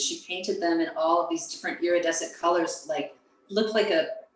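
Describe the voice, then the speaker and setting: A woman speaks fairly quickly with lively intonation. Room echo is audible, along with noticeable background noise. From US South. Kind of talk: casual chat.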